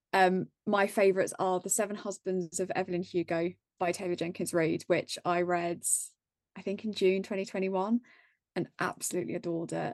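Over a quiet background, a woman with an English accent talks at a fairly quick pace in a medium pitch. Her intonation is monotone and flat, and the sound is dry and close with no echo. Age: 20s. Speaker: book content creator. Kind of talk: casual chat.

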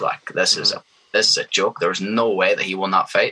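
In a Northern Irish accent, a man speaks at a moderate pace with a dry, close sound and no echo. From Northern Ireland. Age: 20s. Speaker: professional MMA fighter. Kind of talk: casual interview. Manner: confident, energetic.

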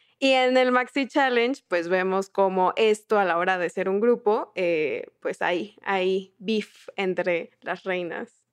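At a very slow pace and with hardly any pauses, a woman speaks at a medium pitch with ordinary pitch variation. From southern Mexico. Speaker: podcast co-host and producer. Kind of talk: casual chat.

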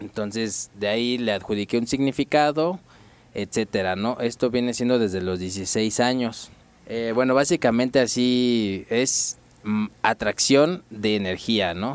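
Talking at a fairly slow pace, a man has a plain, everyday voice of medium pitch with ordinary pitch variation. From Mexico City. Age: 20s. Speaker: graffiti artist and design student. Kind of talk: casual interview. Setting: radio studio booth.

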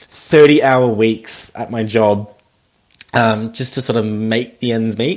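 With an Australian accent, a man speaks at a fairly slow pace in a fairly even intonation. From rural New South Wales, Australia. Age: 20s. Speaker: podcast guest sharing mental health story. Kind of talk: casual interview.

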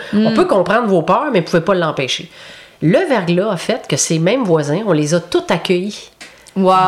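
With noticeable background noise behind her, a woman speaks in a Quebec accent at medium pitch and a moderate pace, her intonation lively and her loudness very even. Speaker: youth protection clinical counsellor. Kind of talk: interview.

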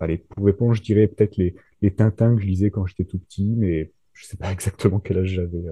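A man's dark, mellow voice, somewhat breathy and fairly low in pitch, comes through dry and close with no echo and ordinary pitch variation. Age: 30s. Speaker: thriller author and nurse. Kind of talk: casual interview. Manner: hesitant, many fillers.

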